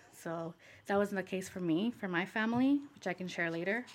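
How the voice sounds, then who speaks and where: A woman speaks in an ordinary speaking voice at a moderate pace and medium pitch. The recording is very clean, with a silent background. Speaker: civil rights advocate. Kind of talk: casual conversational interview.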